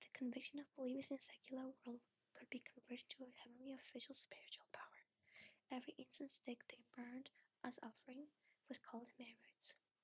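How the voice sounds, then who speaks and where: A soft-spoken woman talks at a fairly quick pace in a high pitch with monotone, flat intonation. The sound is dry and close, with no echo. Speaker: ASMR VTuber reader. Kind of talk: calm narration reading a novel aloud. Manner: soft-spoken, sleepy.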